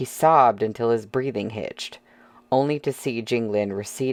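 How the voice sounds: The clip features a natural reading voice whose pitch moves in an ordinary way.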